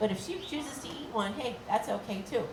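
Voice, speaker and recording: An animated tone amid audible room echo and noticeable background noise. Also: woman. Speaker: animal care presenter. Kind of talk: live educational talk to audience. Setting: outdoor stage with audience. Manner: fast; friendly, animated.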